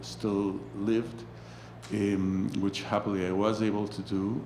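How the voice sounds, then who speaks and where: Audible room echo surrounds a man with a Spanish accent whose pitch varies in an ordinary way. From Mexico. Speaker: anthropology professor and author. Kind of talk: interview conversation about his book. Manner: halting, many fillers and restarts.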